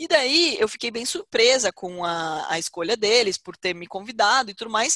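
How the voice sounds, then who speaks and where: A woman speaks at a fairly slow pace. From Brazil, Porto Feliz (São Paulo state). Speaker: business executive and investment educator. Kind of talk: interview.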